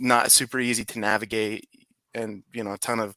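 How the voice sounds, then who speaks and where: In a Utah accent, a man speaks at medium pitch and a moderate pace, his intonation monotone and flat. His tone is bright and sharp, the sound dry and close with no echo, and the recording very clean over a silent background. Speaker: digital marketer. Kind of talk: casual chat.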